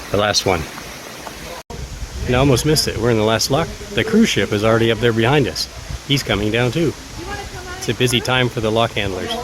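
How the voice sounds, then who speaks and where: A man at a medium pitch with ordinary pitch variation, talking very fast amid long, frequent pauses and noticeable background noise. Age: old. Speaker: sailing vlogger. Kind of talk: casual vlog commentary.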